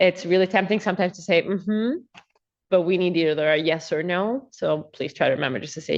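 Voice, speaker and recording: A woman speaks at a medium pitch and a fairly quick pace. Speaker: prosecutor. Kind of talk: courtroom examination. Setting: courtroom. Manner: soft-spoken; hesitant, many filler words.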